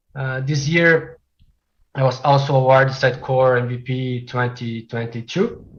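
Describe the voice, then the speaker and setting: This man's voice is somewhat breathy and sits at a medium pitch. He talks at a moderate pace with fairly even intonation. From Brazil. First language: Portuguese. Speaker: software developer. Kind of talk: technical presentation.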